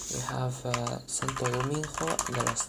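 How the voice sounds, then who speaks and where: Very slow speech over noticeable background noise. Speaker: geography YouTuber. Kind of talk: casual talk to camera. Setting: home recording with keyboard clicks, poor mic. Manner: casual, hesitant.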